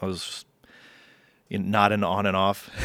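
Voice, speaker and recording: The recording is very clean with a silent background. A man speaks with fairly low pitch in a monotone, flat intonation. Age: 30s. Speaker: podcast host and gigging musician. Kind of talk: casual solo podcast monologue. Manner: halting, many fillers.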